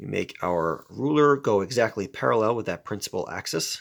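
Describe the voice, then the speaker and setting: He talks at a moderate pace with ordinary pitch variation. It is a man's medium-pitched voice, a normal speaking voice. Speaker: science teacher. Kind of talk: tutorial.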